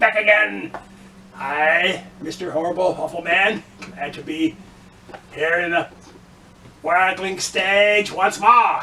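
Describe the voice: Using a put-on character voice, a man speaks high in pitch at a fairly slow pace with long, frequent pauses.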